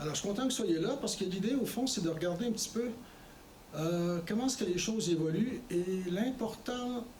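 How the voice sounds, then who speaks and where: With a Quebec accent, a man speaks at a moderate pace in a high voice, his pitch varying in an ordinary way and his loudness very even, over noticeable background noise and audible room echo. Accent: Québécois. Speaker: former politician, guest speaker. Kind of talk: lecture. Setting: college lecture with audience. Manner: conversational with hesitations.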